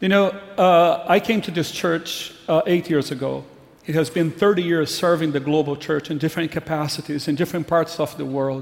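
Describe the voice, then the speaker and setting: Speaking at a moderate pace, a man with a Brazilian accent has a fairly high pitch. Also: fairly even intonation. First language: Portuguese. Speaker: pastor. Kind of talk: farewell speech. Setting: church.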